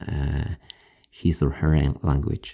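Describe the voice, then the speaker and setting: Heard in a dry, close sound with no echo, a man with a Polish accent has a dark, mellow tone and vocal fry. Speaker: ASMR creator. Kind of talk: casual talk to camera, answering viewer questions. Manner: halting, with fillers.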